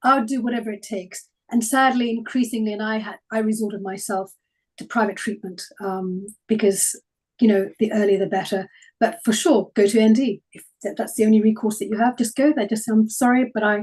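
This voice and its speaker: A woman with a somewhat breathy, fairly high voice talks at a fairly quick pace, with big swings in loudness. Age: 60s. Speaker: health speaker. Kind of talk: webinar Q&A answers.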